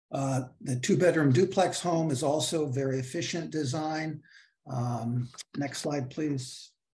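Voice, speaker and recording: A man talks in a somewhat breathy voice with a dark, mellow tone. His pitch is fairly high and varies in an ordinary way. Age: 60s. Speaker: housing developer. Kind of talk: project presentation.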